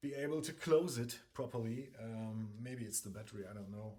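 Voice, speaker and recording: A man with a German accent, medium pitch and ordinary pitch variation, dark and mellow in tone and somewhat breathy, at a moderate pace amid audible room echo. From Germany. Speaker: guitar reviewer. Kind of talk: casual product review. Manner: halting, many fillers.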